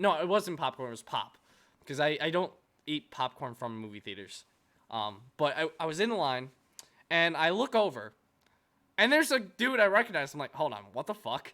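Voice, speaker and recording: A man's fairly high voice with vocal fry and a bright, sharp tone, very wide pitch swings, big swings in loudness, a moderate pace and long, frequent pauses. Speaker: anime YouTuber and streamer. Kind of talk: casual interview chat. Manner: halting, many fillers.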